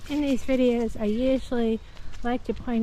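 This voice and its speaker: A woman with a dark, mellow tone and fairly even intonation speaks with audible room echo. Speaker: vlogger, nature walk guide. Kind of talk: casual walking vlog narration. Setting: outdoors in a forest.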